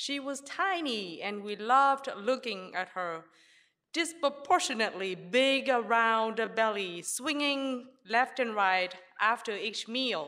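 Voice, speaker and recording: With a Vietnamese accent, this voice has a bright, sharp tone and lively intonation, moving at a fairly slow pace on a very clean recording with a silent background. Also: woman, fairly high pitch for a woman. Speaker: history professor. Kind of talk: live storytelling. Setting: stage with audience.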